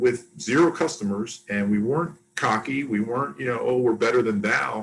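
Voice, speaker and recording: A man speaks with an American accent at medium pitch. His voice is somewhat breathy. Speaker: casino executive. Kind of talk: interview. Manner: fast.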